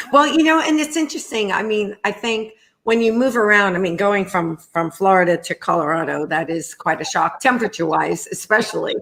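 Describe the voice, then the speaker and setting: Very wide pitch swings and a fairly quick pace with hardly any pauses, in a New York accent, on a very clean recording with a silent background. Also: woman, medium pitch for a woman. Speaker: talk show host, nonprofit executive. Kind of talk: interview. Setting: video stream from home kitchen.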